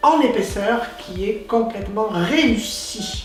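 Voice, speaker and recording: Over background music, a woman speaks very slowly in a fairly high pitch. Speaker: stage actress and director. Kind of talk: interview answer.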